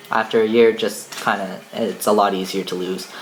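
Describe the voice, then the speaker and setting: Noticeable background noise sits behind a man whose pitch variation is ordinary. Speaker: vlogger. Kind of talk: casual vlog talk. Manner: casual, hesitant with many fillers.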